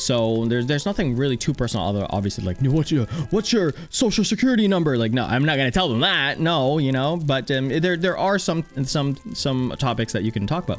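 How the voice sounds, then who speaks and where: With music in the background, a man with a fairly high pitch and lively intonation talks at a fairly quick pace, with very even loudness and hardly any pauses. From Philippines. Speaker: podcaster. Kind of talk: casual chat. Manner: repetitive, many fillers.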